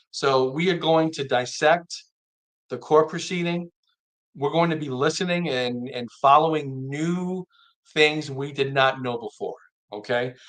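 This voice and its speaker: A man's fairly high voice with ordinary pitch variation, at a fairly slow pace broken by long, frequent pauses. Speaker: live stream commentator. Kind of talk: live stream commentary.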